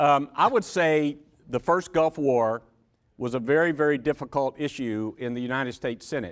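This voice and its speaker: With a Georgia accent, a man of fairly high pitch talks at a moderate pace with ordinary pitch variation. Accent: US Southern (Georgia). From Georgia, Macon. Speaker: former senate staffer, panelist. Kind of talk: panel discussion.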